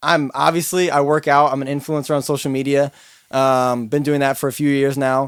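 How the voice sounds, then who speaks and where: A plain, everyday voice, a man's, fairly high-pitched, at a moderate pace. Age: 20s. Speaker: podcast co-host, finance sales worker and influencer. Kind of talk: casual chat.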